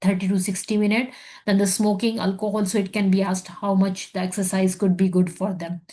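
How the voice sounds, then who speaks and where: A woman's somewhat breathy, medium-pitched voice, monotone and flat, at a fairly quick pace. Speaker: medical exam tutor; physician. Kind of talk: lecture. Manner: fast.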